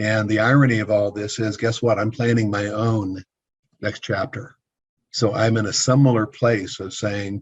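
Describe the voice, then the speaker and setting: A man talks at a moderate pace in a somewhat breathy voice. His intonation is monotone and flat. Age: 60s. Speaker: business consultant, former building contractor. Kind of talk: interview.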